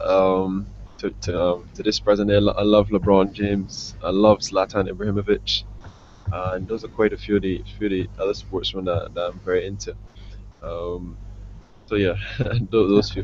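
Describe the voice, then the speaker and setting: A man speaks with a West Indian accent, leaving long, frequent pauses. Noticeable background noise is present. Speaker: professional cricketer. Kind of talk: interview. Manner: fast; halting, many fillers and repeats.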